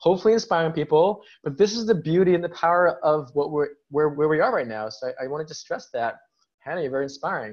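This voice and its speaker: Talking at a very fast pace with an animated tone, a man with an American accent has a fairly high pitch. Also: lively intonation. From US. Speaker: podcast host. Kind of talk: interview, casual chat. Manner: animated, excitable.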